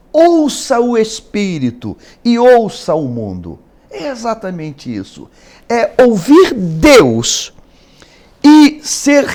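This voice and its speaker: Speaking at a very slow pace, a man with an extremely high pitch shows big swings in loudness. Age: 60s. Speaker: pastor. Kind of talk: interview. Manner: hesitant, frequent filler words.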